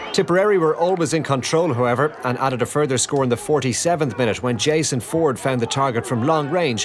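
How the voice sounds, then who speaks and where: Amid noticeable background noise, a man speaks fairly quickly at a medium pitch with lively intonation. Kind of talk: scripted match report narration. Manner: clear, measured, formal.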